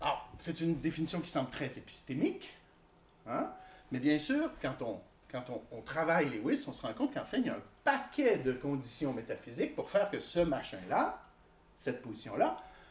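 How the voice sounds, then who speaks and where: With long, frequent pauses and big swings in loudness, a man speaks at a moderate pace amid audible room echo. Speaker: philosophy professor. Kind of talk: lecture. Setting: conference hall with audience.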